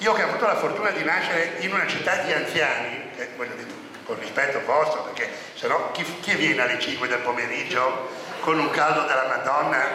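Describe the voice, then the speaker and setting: A man's fairly high voice at a fairly quick pace, with audible room echo and noticeable background noise. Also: ordinary pitch variation. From Genoa, Italy. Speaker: guest speaker. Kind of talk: talk to a live audience. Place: hall. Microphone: handheld.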